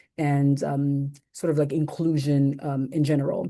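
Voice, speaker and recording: Over a quiet background, a woman with a very deep, low pitch and a dark, mellow tone speaks at a moderate pace in a flat monotone. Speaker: gender-based violence expert. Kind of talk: panel discussion.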